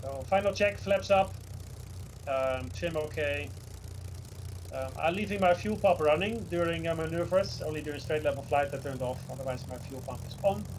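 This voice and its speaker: Very wide pitch swings and big shifts in loudness from a man with a fairly high voice, at a moderate speed. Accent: Dutch. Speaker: flight sim developer and streamer. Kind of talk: tutorial. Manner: instructive, hesitant with fillers.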